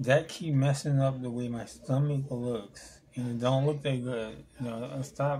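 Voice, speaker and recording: A somewhat breathy male voice at medium pitch, fairly even in intonation, at a fairly slow pace. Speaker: vlogger. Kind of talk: casual vlog monologue. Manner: halting.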